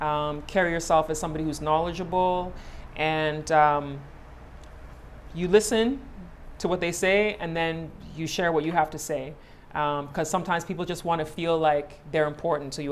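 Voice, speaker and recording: Through audible room echo, a woman speaks with a very deep, low pitch, fairly even intonation and a moderate pace. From Ghana. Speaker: media personality and host. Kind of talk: casual interview chat.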